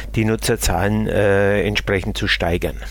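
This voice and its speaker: There is noticeable background noise. Through it, a man speaks at a fairly slow pace. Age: 50s. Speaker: local app project coordinator. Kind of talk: interview. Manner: hesitant with many fillers.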